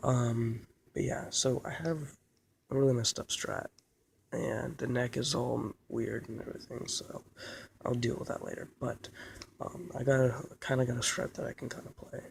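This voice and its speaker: A quiet, somewhat breathy voice speaks at a moderate pace with fairly even intonation and long, frequent pauses. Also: man, medium pitch for a man. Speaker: guitar hobbyist vlogger. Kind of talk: casual vlog. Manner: quiet, hushed; hesitant, many fillers.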